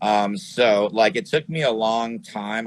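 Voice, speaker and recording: Using an unremarkable speaking voice, a man with an American accent talks at a medium pitch with lively intonation. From New York City area. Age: 40s. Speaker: glass pipe maker and filmmaker. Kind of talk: casual interview. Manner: casual, filler-heavy.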